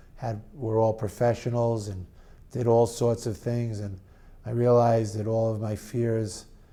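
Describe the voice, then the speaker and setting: A man with a New York accent speaks at a fairly slow pace and medium pitch. His tone is dark and mellow, his intonation monotone and flat. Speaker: parent of a child who stutters. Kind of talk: testimony.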